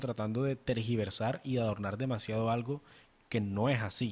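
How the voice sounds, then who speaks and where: A man with an ordinary speaking voice keeps a moderate pace and fairly even intonation. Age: 20s. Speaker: podcast co-host, marketing consultant. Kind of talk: casual chat.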